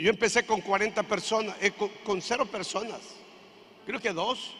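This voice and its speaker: In a raised, projected voice, a man speaks at a high pitch with an animated, bright, sharp tone and a moderate pace. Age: 60s. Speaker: pastor. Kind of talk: sermon. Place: church. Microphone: handheld.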